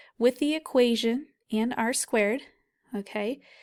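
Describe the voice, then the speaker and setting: A woman speaks at a fairly high pitch in a normal speaking voice. The recording is very clean with a silent background. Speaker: physics professor. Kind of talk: tutorial. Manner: casual.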